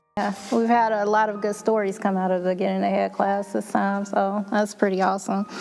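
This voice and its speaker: Over noticeable background noise, a woman with an American accent talks at a medium pitch in a monotone, flat intonation. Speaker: charity program staff, moderator. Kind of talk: panel discussion.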